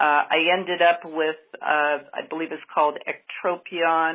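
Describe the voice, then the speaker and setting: At a fairly slow pace, a woman with a plain, everyday voice speaks at a fairly low pitch. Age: 60s. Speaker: voicemail caller, patient. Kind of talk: voicemail question.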